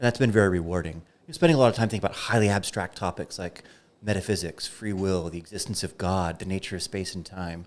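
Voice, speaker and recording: In an American accent, a man with a very deep, low pitch talks at a very fast pace, with ordinary pitch variation and big swings in loudness, in a very clean recording with a silent background. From United States. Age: 40s. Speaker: philosophy professor. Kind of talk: podcast interview. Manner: passionate.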